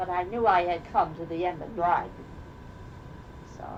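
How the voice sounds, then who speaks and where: A woman's fairly low voice with a Rhode Island accent and ordinary pitch variation, over noticeable background noise and audible room echo. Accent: Rhode Island New England. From Rhode Island, Newport. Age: 80s+. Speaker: oral history interviewee. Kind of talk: casual chat.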